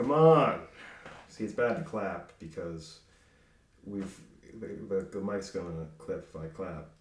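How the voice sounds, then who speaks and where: The speech is fairly slow, with long pauses coming often and audible room echo. Pitch swings very widely and loudness shifts a great deal. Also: man, fairly low pitch for a man. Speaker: podcast host and comedian. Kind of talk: casual chat.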